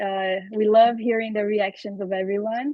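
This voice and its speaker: A woman with a Portuguese accent speaks at a fairly high pitch. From Brazil. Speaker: Q&A host. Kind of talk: live Q&A moderation.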